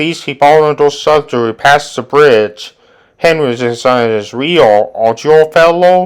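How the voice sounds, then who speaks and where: Someone puts on a character voice at a moderate pace, recorded very cleanly with a silent background. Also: man, fairly high pitch for a man. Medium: read story.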